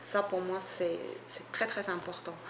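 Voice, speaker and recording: Amid noticeable background noise and audible room echo, a woman with a non-native accent speaks at a medium pitch. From Switzerland. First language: not French (speaking French). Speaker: photographer and artist. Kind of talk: interview. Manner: hesitant, many fillers.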